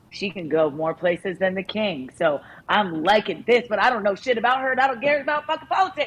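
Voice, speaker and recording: Very wide pitch swings in a woman's voice, set against noticeable background noise. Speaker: podcast co-host. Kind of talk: casual chat. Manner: animated.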